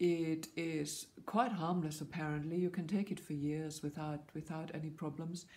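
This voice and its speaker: A woman talks at a moderate pace with hardly any pauses. Her pitch is very deep and low, and her intonation fairly even. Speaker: vlogger. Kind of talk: vlog monologue. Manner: halting. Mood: earnest, informative. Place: home room. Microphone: phone near.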